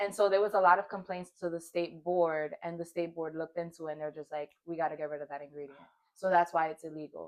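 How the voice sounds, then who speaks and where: A woman with an American accent speaks at a very fast pace and a fairly low pitch, with monotone, flat intonation and big swings in loudness. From Brooklyn, New York. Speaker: nail technician. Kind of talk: casual chat. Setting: home studio.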